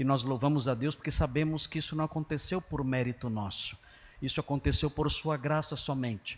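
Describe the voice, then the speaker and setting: In a very clean recording with a silent background, a man with a fairly high voice speaks at a moderate pace with fairly even intonation in an ordinary speaking voice. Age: 60s. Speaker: pastor. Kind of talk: sermon. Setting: church.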